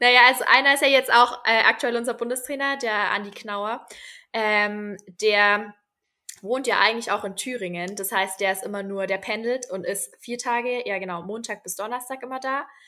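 Bright and sharp in tone, a woman speaks at a moderate pace and fairly high pitch with fairly even intonation and big swings in loudness, in a very clean recording with a silent background. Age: 20s. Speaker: middle-distance runner and trainee primary teacher. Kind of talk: casual interview.

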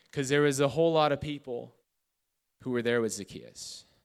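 A man's fairly high voice at a moderate pace, fairly even in intonation, on a very clean recording with a silent background. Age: 20s. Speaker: youth pastor. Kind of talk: sermon. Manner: casual.

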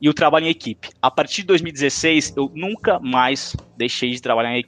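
A man speaks in a normal speaking voice at a moderate pace, pitched fairly high with ordinary pitch variation. The sound is dry and close, with no echo. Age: 20s. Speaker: marketing intern, former student league president. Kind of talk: podcast interview.

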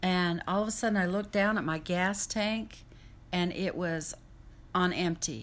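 At a moderate pace, a woman speaks in a normal speaking voice at medium pitch. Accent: American. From Utah and Idaho, US. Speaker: home health caregiver. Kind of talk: testimony.

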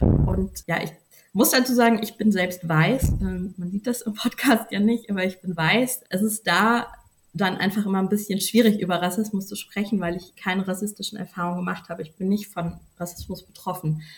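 The speaker has a plain, everyday voice, talking at a moderate pace with fairly even intonation. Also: woman, medium pitch for a woman. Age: 30s. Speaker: journalist. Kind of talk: interview. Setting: podcast recording.

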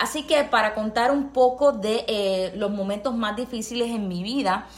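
An unremarkable speaking voice from a woman, fairly high in pitch, with ordinary pitch variation. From Puerto Rico. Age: 30s. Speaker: nurse and counselor. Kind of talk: testimony.

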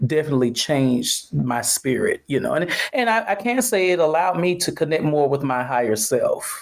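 A man speaks at a fairly slow pace with an American accent, ordinary pitch variation, and a plain, everyday voice. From Atlanta, US South. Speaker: studio owner. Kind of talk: casual chat. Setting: remote call.

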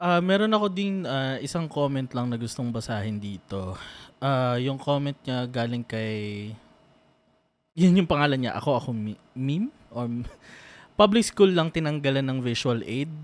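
Captured in a very clean recording with a silent background, a man speaks at a medium pitch and moderate pace in a plain, everyday voice with lively intonation. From Philippines. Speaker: co-host reading viewer comments. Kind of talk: casual panel discussion.

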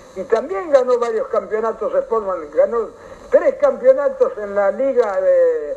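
With noticeable background noise behind him, a man talks at a moderate pace in a Rioplatense accent. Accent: Argentine Spanish, rioplatense. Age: 80s+. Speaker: local historian, elderly former footballer. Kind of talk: radio interview, casual reminiscing.

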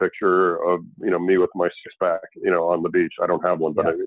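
A man talks at a very fast pace. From Canada. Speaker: restaurant company founder and CEO. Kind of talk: interview. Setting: remote call. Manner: halting, many fillers.

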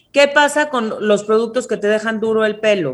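A woman has an ordinary speaking voice with a fairly high pitch. She talks at a moderate pace with lively intonation. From Mexico. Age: 30s. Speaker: hair care entrepreneur. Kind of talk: interview. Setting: video call.

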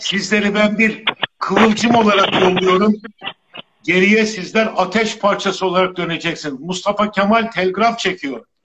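A loud, high-pitched man's voice at a fairly slow pace. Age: 60s. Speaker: lawyer. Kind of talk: interview. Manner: speaks loudly. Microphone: too quiet, weak audio.

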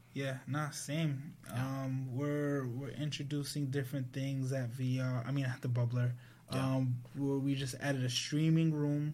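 Speaking with an American accent, a man talks at a medium pitch and fairly slow pace, his tone dark, mellow and somewhat breathy. His intonation is monotone and flat, and audible room echo surrounds him. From US Northeast, Providence, Rhode Island. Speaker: tech entrepreneur. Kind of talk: casual interview chat.

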